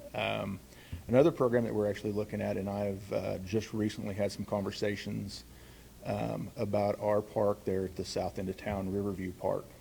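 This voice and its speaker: Vocal fry runs through a man's fairly low-pitched voice. He talks at a moderate pace with fairly even intonation. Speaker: city parks manager. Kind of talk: conference talk. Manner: loud; halting, many fillers.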